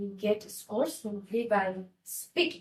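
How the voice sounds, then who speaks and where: With a Nepali accent, a woman talks in a somewhat breathy, fairly high voice with ordinary pitch variation. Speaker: IELTS teacher. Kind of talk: tutorial.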